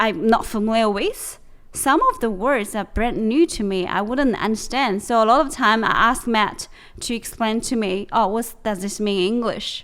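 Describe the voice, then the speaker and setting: A woman's fairly high voice in a Chinese accent, with ordinary pitch variation, on a very clean recording with a silent background. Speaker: podcast co-host. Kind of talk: casual chat. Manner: halting, with frequent fillers and restarts.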